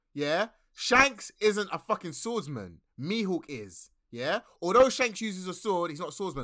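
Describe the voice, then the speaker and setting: On a very clean recording with a silent background, a man speaks at a moderate pace in a raised, projected, high-pitched voice, bright and sharp in tone and animated, with very wide pitch swings and big swings in loudness. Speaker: podcast host. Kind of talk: casual chat about anime. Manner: animated, excitable.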